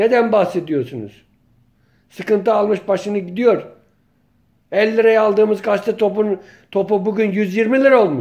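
Against a quiet background, a man with a high pitch talks at a moderate pace with ordinary pitch variation, very even loudness and long, frequent pauses. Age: 50s. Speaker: local journalist and political commentator; local journalist, political commentator. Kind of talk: political monologue vlog. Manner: impassioned. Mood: indignant, complaining. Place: home room. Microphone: phone near.

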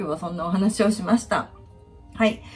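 Faint music sits in the background as a woman talks. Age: 50s. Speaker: finance worker on leave. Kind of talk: casual talk to camera. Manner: casual, chatty. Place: kitchen. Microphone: phone near.

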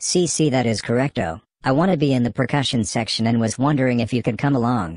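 A man does a cartoonish character voice at a medium pitch and a very fast pace. His intonation is lively, his loudness very even. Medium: puppet. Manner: sassy, mocking.

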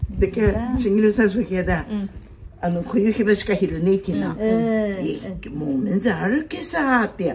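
Through noticeable background noise, a woman with a Tsugaru accent speaks at a fairly slow pace with lively intonation. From Japan. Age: old. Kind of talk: casual conversation; casual chat in dialect. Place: street. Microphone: phone near.

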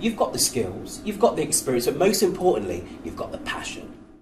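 A man's very fast speech with very wide pitch swings, against noticeable background noise. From UK. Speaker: presenter. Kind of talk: presenter showreel piece to camera. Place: studio.

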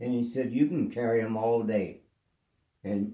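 Audible room echo surrounds a man with a dark, mellow tone. He speaks at a very slow pace. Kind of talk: casual storytelling. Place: home room. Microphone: phone near.

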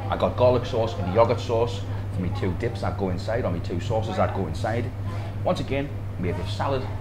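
There is noticeable background noise. Over it, a man talks fairly quickly. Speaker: food vlogger. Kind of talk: casual food review vlog. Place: shop. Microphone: lapel.

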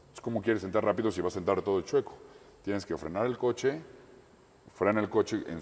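Here a man talks at a very fast pace. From Mexico. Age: 20s. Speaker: racing driver. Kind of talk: interview. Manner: halting. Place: garage. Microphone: camera far.

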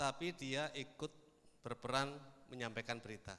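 Fairly high-pitched with ordinary pitch variation, this man's voice has a bright, sharp tone. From Indonesia, not Padang. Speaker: social media expert; speaker. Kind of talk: seminar talk. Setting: stage with audience. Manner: animated. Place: hall. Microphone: handheld.

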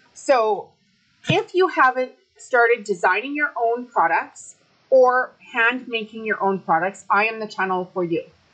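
Her intonation rises and falls in a lively way. Behind this woman, the background stays quiet. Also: fairly slow pace. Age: 50s. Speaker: YouTube craft and online selling educator. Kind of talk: casual tutorial-style commentary to camera. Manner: hesitant, many fillers (um, uh). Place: home room. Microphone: webcam.

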